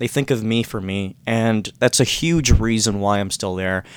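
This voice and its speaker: A man with a fairly low pitch and a Canadian accent talks at a moderate pace. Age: 20s. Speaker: hospitality worker with dyslexia. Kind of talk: casual interview. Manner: halting, many fillers.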